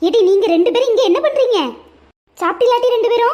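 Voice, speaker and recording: A woman puts on a cartoonish character voice that is squeaky and extremely high-pitched. Her loudness stays very even throughout. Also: moderate pace, ordinary pitch variation. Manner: fussy, chiding.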